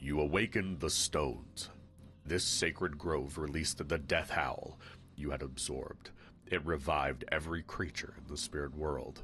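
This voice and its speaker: Over clear background noise, a man performs a put-on character voice. He keeps to a moderate pace. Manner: solemn, mystical.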